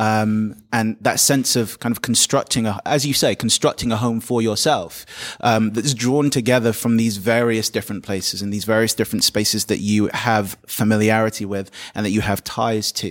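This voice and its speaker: At a moderate pace, a man with a London accent speaks at medium pitch with fairly even intonation. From London, England. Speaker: poet and teacher. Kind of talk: panel discussion; poetry reading. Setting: live event venue.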